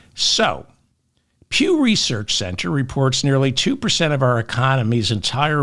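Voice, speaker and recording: In a very clean recording with a silent background, a man talks fairly slowly with vocal fry. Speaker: political commentator. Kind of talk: political commentary monologue. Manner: slow, careful pacing.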